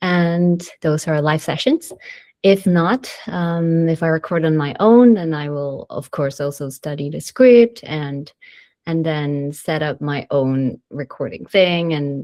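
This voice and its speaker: Speaking very slowly, a woman uses a very deep, low pitch with ordinary pitch variation. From Malaysia. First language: multilingual: English, Mandarin, Malay. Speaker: voice actor. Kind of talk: interview answer. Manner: casual, hesitant.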